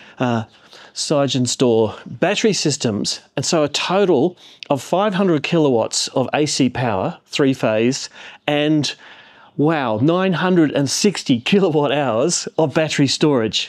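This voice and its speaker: A man speaks with lively intonation at a very slow pace. The background is quiet. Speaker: tech reviewer. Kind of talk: casual vlog chat. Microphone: phone near.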